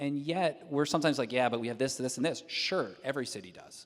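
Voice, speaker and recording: A man with a slight Southern US accent speaks in a fairly high voice. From moved around a lot, partly New York and US South. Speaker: civic nonprofit leader, award honoree. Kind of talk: panel discussion. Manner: casual, many fillers and repeated words.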